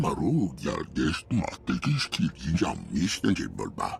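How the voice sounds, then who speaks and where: A put-on character voice moves at a fairly slow pace against clear background noise. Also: man, very deep, low pitch for a man. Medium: video game. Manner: speaks an alien language.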